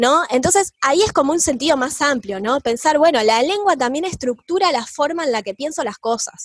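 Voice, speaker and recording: The woman's speech has a lively, varied melody. She keeps to a medium speed. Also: dry, close sound with no echo. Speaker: teacher. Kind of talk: lecture.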